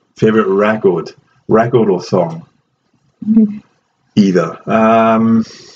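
Very slow and broken by long, frequent pauses, a man speaks at a medium pitch with a Welsh accent and ordinary pitch variation. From Wales. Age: 30s. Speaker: professor and jiu-jitsu breathing coach. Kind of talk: casual chat.

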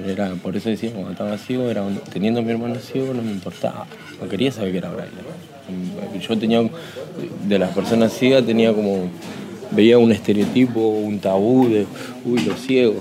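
Over noticeable background noise, a man with a fairly low pitch and ordinary pitch variation talks at a moderate pace. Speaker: inmate in braille workshop. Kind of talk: interview testimony. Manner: halting.

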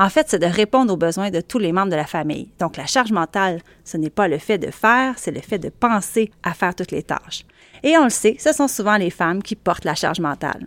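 In a very clean recording with a silent background and a dry, close sound with no echo, a woman talks at a fairly quick pace with very wide pitch swings. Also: medium pitch for a woman. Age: 40s. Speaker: journalist and podcast host. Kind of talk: solo audio column, conversational monologue. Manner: casual, chatty.

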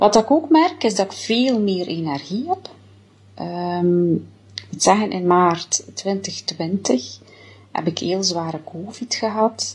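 A somewhat breathy voice at a very slow pace, with ordinary pitch variation. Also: woman. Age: 40s. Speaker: diet product customer giving testimonial. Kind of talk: testimony. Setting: self-recorded video.

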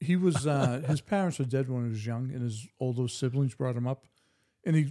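The speaker has a Boston accent and a dark, mellow tone. The pace is moderate, with ordinary pitch variation. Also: man. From East Boston, Massachusetts. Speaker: podcast guest. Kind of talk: casual chat.

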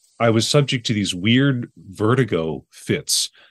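This is a man with an ordinary speaking voice. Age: 40s. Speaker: memoir writer and teacher. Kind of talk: interview.

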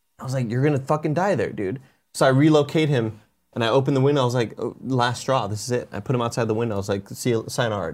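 A man rattles along at a very fast pace, his voice sitting at a medium pitch. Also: ordinary pitch variation. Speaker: podcast co-host. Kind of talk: casual chat.

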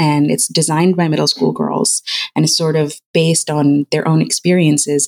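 A woman's very deep, low voice at a moderate pace, dry and close with no echo. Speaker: founder of girls' game design camps. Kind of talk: interview. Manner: conversational with fillers.

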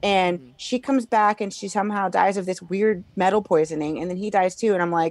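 A woman's plain, everyday voice with an American accent, loudness swinging widely, at a fairly quick pace. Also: medium pitch for a woman, fairly even intonation. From Illinois. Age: 40s. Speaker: comedian. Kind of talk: casual chat.

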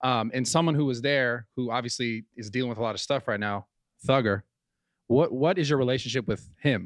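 This man has an unremarkable speaking voice, medium in pitch, with ordinary pitch variation at a fairly quick pace. The sound is dry and close with no echo, over a quiet background. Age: 30s. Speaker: podcast co-host. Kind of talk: casual chat.

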